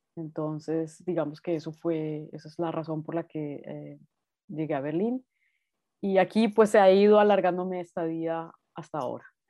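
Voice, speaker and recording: A woman's fairly low-pitched voice at a moderate pace, with ordinary pitch variation and big swings in loudness. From Colombia, Bogotá. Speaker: artist. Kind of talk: interview conversation. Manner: hesitant with fillers.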